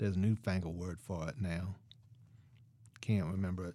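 A man with a very deep, low pitch speaks in a very clean recording with a silent background. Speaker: professor and playwright. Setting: studio. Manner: halting, musing and wistful, with rueful laughs and a rough Southern drawl in character; animated, shifting from grief to warm reminiscence to bitter anger.

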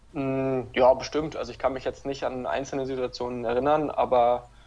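A man's voice at a medium pitch. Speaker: handball referee and former player. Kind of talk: interview.

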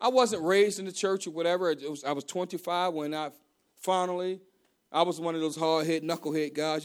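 With an American accent, a bright, sharp voice talks at a fairly quick pace on a very clean recording with a silent background. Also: man. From Baltimore, Maryland. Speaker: pastor. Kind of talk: sermon. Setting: church. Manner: halting, frequent repetitions.

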